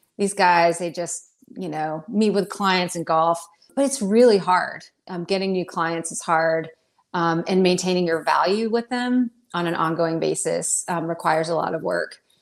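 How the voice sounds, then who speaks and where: A woman's normal speaking voice in an American accent, fairly low in pitch, at a moderate pace with ordinary pitch variation. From North Carolina. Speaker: financial advisor. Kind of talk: podcast interview.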